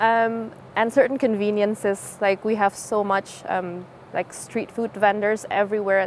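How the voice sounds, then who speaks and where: A woman's speech is heard against noticeable background noise. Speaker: international visitor. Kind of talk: interview testimony.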